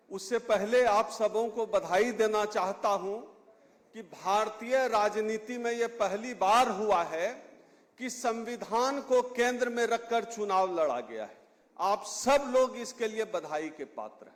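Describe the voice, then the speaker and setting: A man talks in a high voice with ordinary pitch variation. His loudness swings widely. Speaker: political activist speaker. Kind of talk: public speech. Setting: stage with audience.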